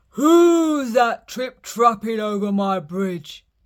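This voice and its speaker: In a put-on character voice, a man growls at a very slow pace with high pitch, on a very clean recording with a silent background. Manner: growling, menacing.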